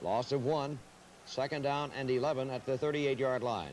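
Male voice over noticeable background noise. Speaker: radio play-by-play announcer. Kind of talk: live radio football play-by-play commentary. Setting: radio broadcast of a college football game, 1981 archive. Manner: brisk, rhythmic, announcer cadence calling each down, yard line and gain; measured and clear, building excitement at big plays.

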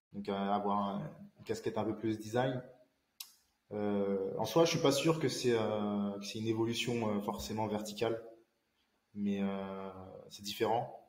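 This man speaks at a very slow pace with a fairly low pitch, ordinary pitch variation, long and frequent pauses, and audible room echo. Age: 20s. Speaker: independent IT infrastructure consultant; interview guest. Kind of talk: casual interview. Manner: halting, many fillers and repetitions. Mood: calm, thoughtful. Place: home room.

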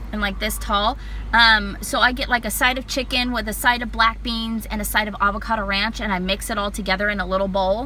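A woman talks in an animated tone at a fairly quick pace, with a dry sound with no echo and light background noise. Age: 30s. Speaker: vlogger documenting weight loss surgery. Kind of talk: casual vlog. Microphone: phone near.

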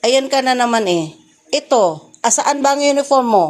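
An angry-toned woman with a high pitch at a moderate pace. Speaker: vlogger and mother. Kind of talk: scolding her child in a home vlog. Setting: at home. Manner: loud, sounds angry.

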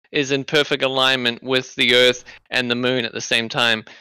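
A man with a bright, sharp tone talks at a moderate pace. The recording is very clean and silent in the background, with a dry, close sound and no echo. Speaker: debate participant. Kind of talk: heated debate.

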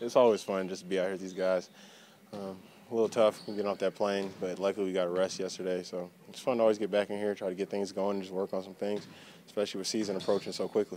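At a very fast pace, a man talks in a fairly low pitch with a dark, mellow tone and monotone, flat intonation, the sound dry with no echo and light background noise. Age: 20s. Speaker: basketball player. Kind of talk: press interview. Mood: relaxed, upbeat. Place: hall.

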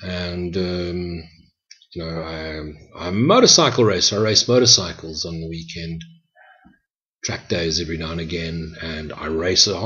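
Against a quiet background, a man with a very deep, low pitch speaks at a moderate pace with fairly even intonation. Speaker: spiritual teacher. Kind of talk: reflective spoken teaching. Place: home room. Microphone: webcam.

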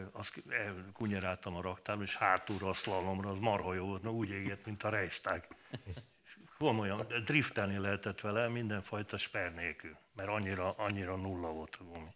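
With a normal speaking voice, a man talks at a moderate pace and fairly low pitch with fairly even intonation. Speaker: former rally driver; talk show guest. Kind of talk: talk show interview. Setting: studio. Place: studio.

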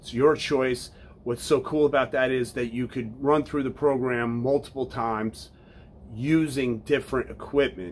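Light background noise sits behind a man speaking. He keeps a moderate pace and fairly even intonation. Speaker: fitness coach. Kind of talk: casual vlog promo talk. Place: home room.

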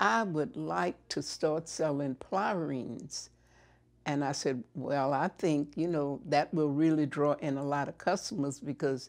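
A woman with a very deep, low pitch at a very slow pace, against a quiet background. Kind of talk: interview answer. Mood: calm, reflective storytelling. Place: home room.

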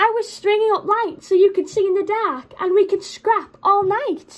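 A woman uses a put-on character voice, squeaky and at an extremely high pitch. She speaks at a moderate pace. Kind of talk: storybook read-aloud. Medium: read story. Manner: hissing, superior. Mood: earnest explaining.

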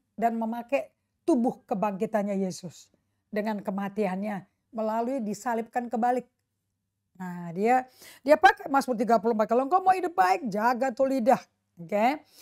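A woman speaks in an animated tone with lively intonation and big swings in loudness. The background is quiet. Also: moderate pace. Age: 60s. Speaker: pastor. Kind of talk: sermon. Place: home room. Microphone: lapel.

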